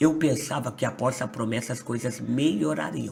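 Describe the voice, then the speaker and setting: There is noticeable background noise as a man speaks at a moderate pace. His medium-pitched voice has lively intonation. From Brazil, São Paulo state. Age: 20s. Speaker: pastor. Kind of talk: testimony.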